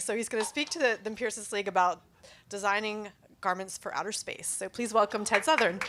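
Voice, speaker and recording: Her voice is fairly high, with ordinary pitch variation. There is noticeable background noise around the woman. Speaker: event host. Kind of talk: speaker introduction. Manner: fast.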